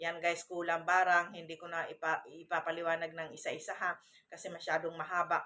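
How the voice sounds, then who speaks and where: A woman speaks at a fairly quick pace. She has an unremarkable speaking voice with a medium pitch. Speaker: vlogger. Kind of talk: casual vlog monologue.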